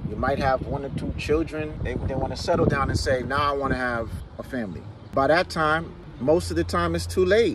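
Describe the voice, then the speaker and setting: Noticeable background noise behind a man at a moderate pace, in a dry sound with no echo. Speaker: relationship commentator. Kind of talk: casual opinion monologue. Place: car. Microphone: phone near.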